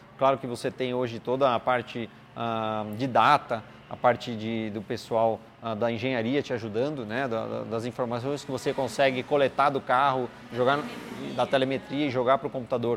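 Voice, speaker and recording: Flat and monotone, a man speaks at a medium pitch and a moderate pace. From Brazil, São Paulo state interior. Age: 30s. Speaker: racing driver and driving coach. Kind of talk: interview. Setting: at a kart track. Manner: hesitant, many fillers.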